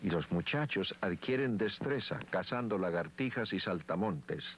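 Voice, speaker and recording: A man at a fairly slow pace with very wide pitch swings, in a very clean recording with a silent background. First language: Sikuani (Guahibo) (speaking Spanish). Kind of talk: documentary narration. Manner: formal.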